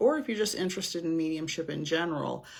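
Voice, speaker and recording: A woman speaks at a very deep, low pitch. Her pitch variation is ordinary. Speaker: psychic medium. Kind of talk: live stream chat. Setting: live stream on camera. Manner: slow.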